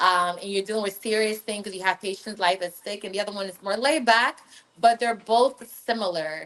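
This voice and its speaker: A woman with an American accent speaks at a medium pitch and a fairly quick pace. Her pitch varies in an ordinary way, while her loudness swings widely. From Northern California, Liberian household. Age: 30s. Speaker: media personality and healthcare worker. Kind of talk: casual interview.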